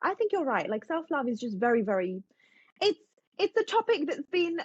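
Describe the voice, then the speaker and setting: A woman speaks with a British accent. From England. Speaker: self-help author and content creator. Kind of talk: podcast interview. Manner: fast; animated.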